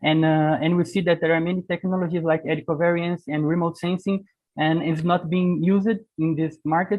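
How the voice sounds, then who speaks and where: High-pitched male speech, monotone and flat, at very even loudness and a fairly quick pace. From Brazil. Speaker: webinar host. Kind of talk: webinar Q&A. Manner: halting.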